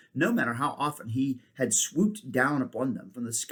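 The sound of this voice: The speaker uses an unforced reading voice. It stays an unforced reading voice throughout.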